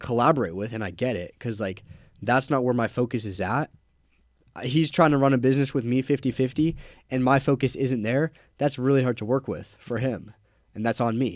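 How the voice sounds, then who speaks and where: A man speaks at a fairly quick pace. He has a plain, everyday voice at medium pitch. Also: ordinary pitch variation. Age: young. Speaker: young entrepreneur, window cleaning business owner. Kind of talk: casual chat. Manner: casual, filler-heavy.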